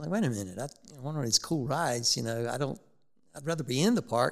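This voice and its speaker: In a Southern US accent, a man talks at a very fast pace with lively intonation and a fairly high pitch. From South Carolina, Rock Hill. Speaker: zoo chief executive. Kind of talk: interview.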